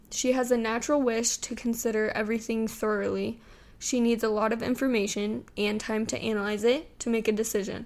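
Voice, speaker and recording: A loud woman's voice at a moderate pace with fairly even intonation, on a very clean recording with a silent background. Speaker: solo podcast host. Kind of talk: casual solo chat.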